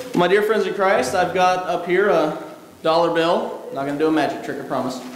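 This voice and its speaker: A high-pitched man at a moderate pace, with ordinary pitch variation, audible room echo, and light background noise. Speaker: pastor. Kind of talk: sermon. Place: church.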